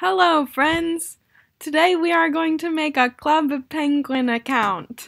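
A woman speaks in a put-on, robotic character voice, pitched high and delivered at a fairly slow pace. The recording is very clean, with a silent background. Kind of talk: scripted, stiff. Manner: robotic, flat.

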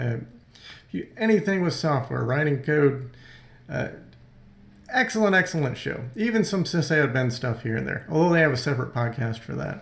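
A man's voice with vocal fry at a moderate pace, broken by long, frequent pauses, with audible room echo. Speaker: screencast host. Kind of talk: tutorial. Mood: enthusiastic recommendation.

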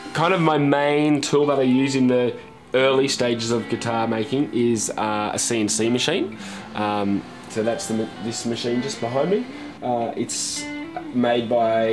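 Ordinary pitch variation over clear music in the background. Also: man. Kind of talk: interview answer. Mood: relaxed, friendly. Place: garage.

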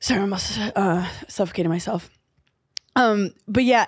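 A woman's voice comes through somewhat breathy. She keeps her intonation fairly even. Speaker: podcast host and comedian. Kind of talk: casual chat.

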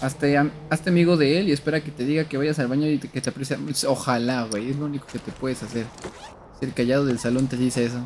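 Light background noise sits behind a man talking at a very fast pace with fairly even intonation. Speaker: game streamer. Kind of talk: casual gameplay commentary. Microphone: headset.

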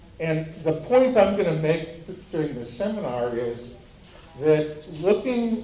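In a room with audible echo, a man speaks very slowly at a fairly high pitch. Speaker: economics professor. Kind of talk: conference lecture. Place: meeting room.

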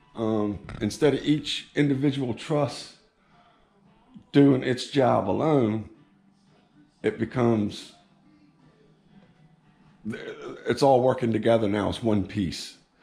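With faint music in the background, a man talks at a very slow pace, leaving long, frequent pauses, his pitch varying in an ordinary way. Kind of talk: casual vlog chat. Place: garage. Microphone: phone near.

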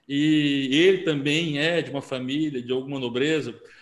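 A plain, everyday voice talks at a fairly slow pace. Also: man. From Brazil, Rio de Janeiro. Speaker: interviewer, event host. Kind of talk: interview. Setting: video call.

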